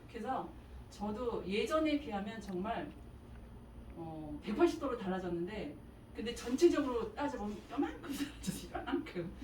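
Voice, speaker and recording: Over audible room echo, a woman with a fairly high pitch speaks at a moderate pace, her pitch swinging very widely. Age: 60s. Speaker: mother giving a testimony. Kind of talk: testimony.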